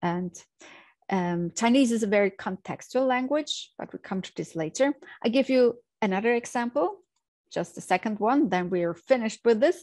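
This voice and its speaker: With a non-native accent, a woman speaks at a moderate pace and fairly high pitch with lively intonation, the sound dry and close with no echo over a quiet background. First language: German. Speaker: language teacher. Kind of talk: tutorial.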